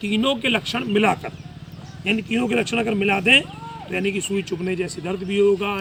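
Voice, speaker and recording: Over noticeable background noise, a man uses a raised, projected voice. His pitch is high and his intonation lively. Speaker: ayurvedic doctor. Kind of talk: health talk / lecture. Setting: live session.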